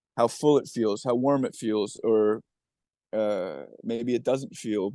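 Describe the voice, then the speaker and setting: Over a quiet background, a dark, mellow tone moves at a very slow pace with ordinary pitch variation. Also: man, medium pitch for a man. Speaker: movement training coach. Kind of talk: casual interview chat.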